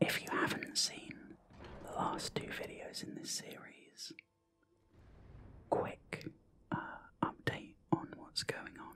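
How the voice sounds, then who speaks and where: Someone whispers at a very slow pace in a British accent. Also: man. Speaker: mental health awareness campaigner. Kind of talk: ASMR gaming whisper ramble. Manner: whispered, slow, soft-spoken.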